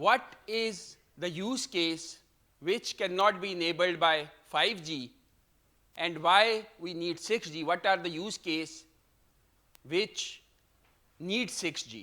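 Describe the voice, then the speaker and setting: Bright and sharp in tone, a man talks at a high pitch with ordinary pitch variation and big swings in loudness. His pace is very slow, broken by long, frequent pauses. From Pakistan. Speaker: professor giving a keynote talk. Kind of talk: conference keynote lecture.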